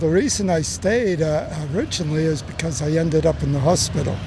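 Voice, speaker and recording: A man's fairly high-pitched voice at a fairly quick pace, with ordinary pitch variation, audible room echo and noticeable background noise. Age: 70s. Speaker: tourist. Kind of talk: street interview.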